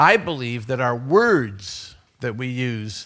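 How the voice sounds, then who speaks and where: On a very clean recording with a silent background, a man with an American accent speaks at a very slow pace and medium pitch, with ordinary pitch variation. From USA. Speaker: conference speaker. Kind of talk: conference talk. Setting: stage with audience. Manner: loud. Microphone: too loud on new microphone.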